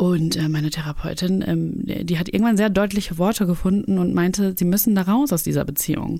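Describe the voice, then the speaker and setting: A woman with a dark, mellow tone and a fairly low pitch talks at a fairly quick pace with hardly any pauses, ordinary pitch variation and very even loudness. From Germany, Cologne. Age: 30s. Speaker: YouTuber. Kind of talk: casual interview.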